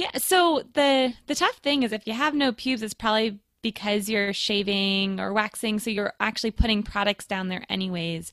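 With an ordinary speaking voice, a woman at fairly high pitch talks at a moderate pace with hardly any pauses and ordinary pitch variation, in a dry, close sound with no echo. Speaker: midwife. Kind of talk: casual chat. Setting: video call.

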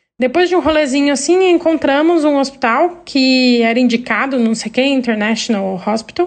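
A woman's high-pitched voice with lively intonation and noticeable background noise. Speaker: listener sending a story. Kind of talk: recorded voice message telling a story. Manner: halting.

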